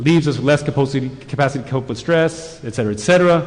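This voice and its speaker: A man talks very fast in a fairly high register, his pitch varying in an ordinary way, with room echo audible and background noise noticeable. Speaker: conference speaker on shamanic healing. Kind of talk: lecture.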